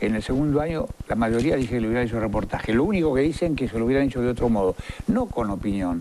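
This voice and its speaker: Speech from a man comes very fast. There is light background noise. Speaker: TV host interviewer. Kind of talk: interview debate. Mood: argumentative, persuasive. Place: studio. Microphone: lapel.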